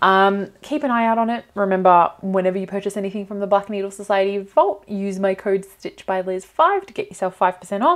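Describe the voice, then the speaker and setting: The setting is quiet. A woman's voice sits at a medium pitch. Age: 30s. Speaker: cross-stitch YouTuber. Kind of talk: unboxing video. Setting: home recording with a new mic. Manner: animated. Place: home room. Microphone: lapel.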